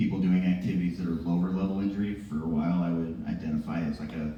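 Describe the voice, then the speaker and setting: A man speaks at a fairly quick pace in a very deep, low voice. The room echo is audible, and there is noticeable background noise. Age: 40s. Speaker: stand-up comedian and emcee. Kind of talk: stand-up. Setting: stage with audience.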